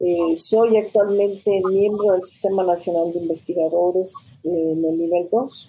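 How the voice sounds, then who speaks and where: Medium pitch from a woman at a fairly slow pace, fairly even in intonation with hardly any pauses, over noticeable background noise. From Mexico, city of Guanajuato. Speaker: university professor and rector candidate. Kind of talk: panel discussion.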